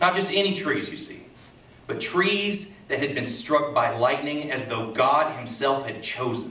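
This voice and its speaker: Over noticeable background noise, a man speaks at a fairly high pitch with lively intonation. His loudness swings a lot. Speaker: poet. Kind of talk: poetry reading. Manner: hesitant, stuttering.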